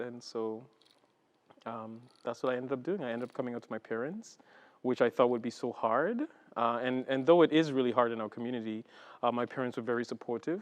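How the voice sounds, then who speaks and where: A man with an Antiguan accent talks at a very fast pace with long, frequent pauses, his medium pitch held in fairly even intonation. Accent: Caribbean (Antiguan) English. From Antigua and Barbuda, Caribbean. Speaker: executive director of a Pride organization. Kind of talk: interview.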